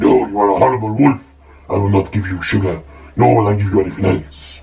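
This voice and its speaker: A man rattles off lines at a very fast pace in a put-on character voice with a fairly low pitch. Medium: read story. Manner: snippy.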